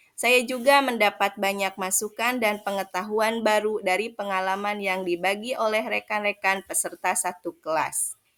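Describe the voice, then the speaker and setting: Over music in the background, a woman of medium pitch speaks at a moderate pace with fairly even intonation and hardly any pauses. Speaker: teacher. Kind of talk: reflective report narration.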